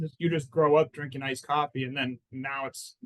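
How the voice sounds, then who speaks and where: A man with an American accent and a plain, everyday voice talks at a fairly high pitch and a fairly quick pace, with fairly even intonation, the sound dry and close with no echo. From Arizona, Phoenix. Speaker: personal injury lawyer. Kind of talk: casual interview chat.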